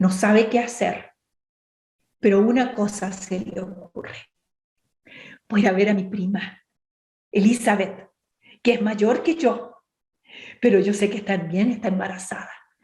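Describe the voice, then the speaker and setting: A fairly slow-paced woman's voice amid audible room echo. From Chile, Temuco area. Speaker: women's ministry speaker. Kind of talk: bible study talk.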